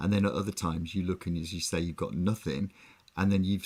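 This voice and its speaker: The voice carries an English accent and fairly even intonation. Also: man. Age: 60s. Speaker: online music show co-host. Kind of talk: casual chat.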